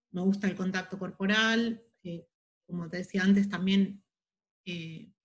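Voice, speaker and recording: A somewhat breathy voice speaks at a moderate pace in an Argentine accent. The intonation stays monotone and flat. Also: woman. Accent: Rioplatense Argentine Spanish. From Buenos Aires, Argentina. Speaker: holistic therapist and masseuse. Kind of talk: interview.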